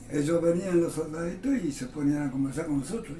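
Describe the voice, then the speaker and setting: A man speaks with ordinary pitch variation over music in the background, his voice carrying audible room echo. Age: 80s+. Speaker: retired railway workshop worker, interviewee. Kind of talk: oral history interview.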